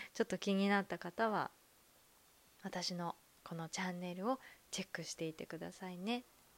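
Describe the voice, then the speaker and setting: A woman speaks at a moderate pace with fairly even intonation and long, frequent pauses. The sound is dry and close, with no echo. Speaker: podcaster, former call center worker. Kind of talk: casual monologue.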